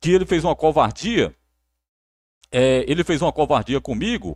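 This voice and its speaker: Speaking at a moderate pace with vocal fry, a man comes through in a very clean recording with a silent background and a dry, close sound with no echo. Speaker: sports narrator. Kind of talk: live stream chat. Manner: repetitive, halting.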